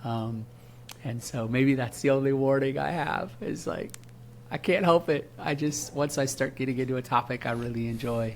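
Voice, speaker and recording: At a moderate pace, a man speaks in an animated tone with ordinary pitch variation. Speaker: marketing specialist. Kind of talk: casual interview.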